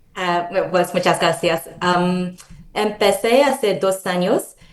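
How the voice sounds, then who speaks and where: This woman talks at a very slow pace. Her voice sits fairly low in pitch. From international, moved often; Korean parents. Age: 30s. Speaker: Spanish learner, expat. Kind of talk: casual interview.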